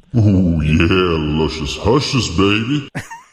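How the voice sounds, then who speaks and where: A man speaks at a very slow pace in a put-on character voice with a very deep, low pitch. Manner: sultry, seductive.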